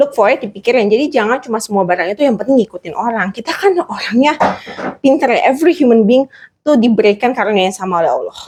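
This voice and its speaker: Very fast talk from a woman, her fairly high voice swinging very widely in pitch. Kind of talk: interview. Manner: code-switching Indonesian and English.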